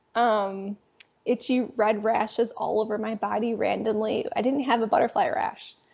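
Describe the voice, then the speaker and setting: Her pitch fairly high and its variation ordinary, a woman talks at a moderate pace. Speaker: lupus patient sharing her story. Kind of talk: casual chat.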